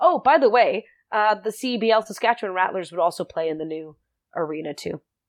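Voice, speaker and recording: With very wide pitch swings, a woman speaks fairly quickly at a fairly high pitch. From South Africa. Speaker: sports broadcaster. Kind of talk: casual interview.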